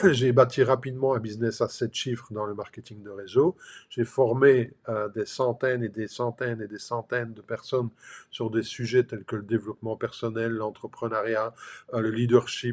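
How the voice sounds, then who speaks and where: On a very clean recording with a silent background, a man speaks at a moderate pace and medium pitch, monotone and flat in intonation but with big swings in loudness. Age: 60s. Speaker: life and business coach. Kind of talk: motivational talk to camera. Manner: casual, filler-heavy.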